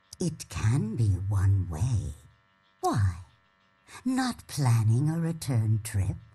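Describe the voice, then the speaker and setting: Low in pitch, a put-on character voice drags along at a very slow pace with long, frequent pauses. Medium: video game. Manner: aloof, measured.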